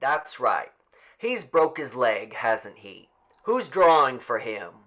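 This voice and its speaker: A man's raspy put-on character voice, fairly high in pitch, with very wide pitch swings at a very slow pace. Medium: read story. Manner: folksy, rural.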